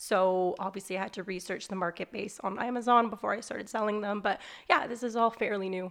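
A woman speaks very fast at a medium pitch against a quiet background. Her intonation is fairly even. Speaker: business owner and life coach. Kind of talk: casual chat. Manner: loud.

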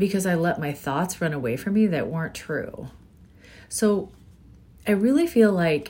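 Fairly low-pitched and somewhat breathy, a woman's voice has a dark, mellow tone and a fairly slow pace. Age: 40s. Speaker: podcast host. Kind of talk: casual monologue.

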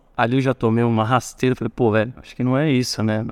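A man with a normal speaking voice, medium pitch and fairly even intonation is heard in a very clean recording with a silent background. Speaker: university course coordinator, former student racing team member. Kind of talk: casual interview.

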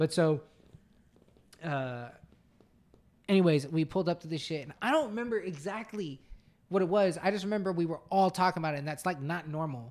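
Pausing long and often, a man with a high pitch speaks at a fairly quick pace with ordinary pitch variation, in a very clean recording over a silent background. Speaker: podcast co-host. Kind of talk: casual chat.

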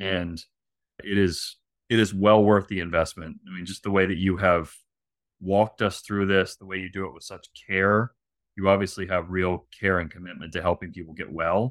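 A man speaks at a moderate pace with a very deep, low pitch and monotone, flat intonation. His loudness swings widely, on a very clean recording with a silent background. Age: 40s. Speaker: insomnia client. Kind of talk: testimony. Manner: halting.

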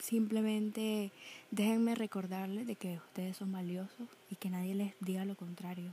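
A woman speaks at a medium pitch in a dark, mellow tone. Her voice is somewhat breathy. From Nicaragua. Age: young. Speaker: podcaster. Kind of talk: casual monologue.

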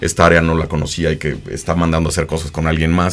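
The speech comes at a very fast pace against noticeable background noise. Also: man. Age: 40s. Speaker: graphic designer and agency founder. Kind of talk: casual interview. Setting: studio.

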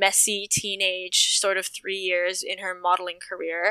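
A woman's bright, sharp tone in a dry, close sound with no echo. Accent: Canadian. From Toronto, Canada. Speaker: stripper and aerialist, sex worker activist. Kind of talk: casual chat. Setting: video call.

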